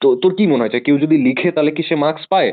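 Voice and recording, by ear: Speaking at a fast pace, a man uses a fairly high pitch with ordinary pitch variation.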